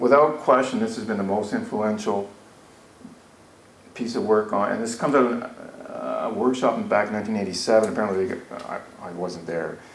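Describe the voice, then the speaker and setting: A man talks at medium pitch and a fairly quick pace, with ordinary pitch variation and big swings in loudness. Noticeable background noise and audible room echo are present. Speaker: educational analyst presenting a workshop. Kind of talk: conference workshop presentation. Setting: conference room with audience. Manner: fast; casual, with fillers and false starts.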